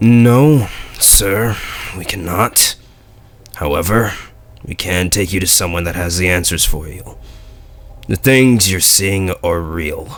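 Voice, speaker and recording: A man speaks in a put-on character voice, very deep and raspy, at a fairly slow pace with long, frequent pauses. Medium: read story. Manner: formal, polite.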